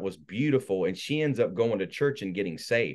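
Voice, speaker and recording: In a normal speaking voice with an American accent, the speaker uses lively intonation against a quiet background. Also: man. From North Carolina (born South Carolina). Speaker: minister and evangelist. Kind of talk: testimony. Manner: casual.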